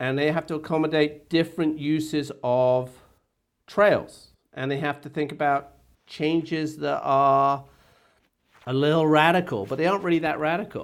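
Recorded very cleanly with a silent background, a man with an English accent and a fairly high pitch speaks at a moderate pace with fairly even intonation and long, frequent pauses. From England. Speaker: search and rescue family liaison officer. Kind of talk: casual chat.

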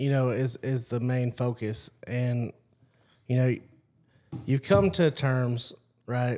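A man talks at a medium pitch. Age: 30s. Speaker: podcast host. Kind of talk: casual interview chat.

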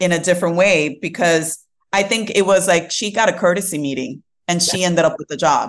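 Against a quiet background, a woman with a New York accent speaks at a medium pitch and a moderate pace with ordinary pitch variation. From Brooklyn, New York. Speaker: tech diversity and inclusion leader. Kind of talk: interview. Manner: casual, filler-heavy.

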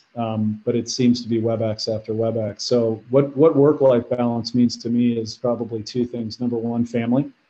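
A man with a Midwestern American accent talks at a medium pitch in a monotone, flat intonation. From Ohio, Cleveland. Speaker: medical technology executive. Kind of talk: interview. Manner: halting, many fillers.

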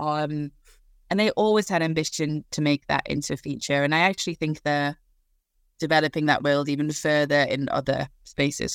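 A woman with a Geordie accent speaks at a moderate pace in a very deep, low voice with fairly even intonation. The recording is very clean with a silent background and a dry, close sound free of echo. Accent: Geordie (northeast English). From northeast England. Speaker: film development and production executive. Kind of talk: casual interview.

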